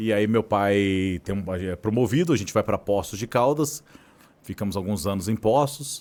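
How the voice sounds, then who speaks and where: On a very clean recording with a silent background, a man with a Minas Gerais accent speaks at a fairly low pitch. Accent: Minas Gerais (mineiro). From southern Minas Gerais, Brazil (Varginha). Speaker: journalist and agency founder. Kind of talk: podcast interview.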